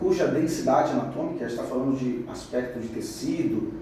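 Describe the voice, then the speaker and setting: Audible room echo and noticeable background noise surround a man who speaks fairly fast. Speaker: radiology instructor. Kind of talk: lecture.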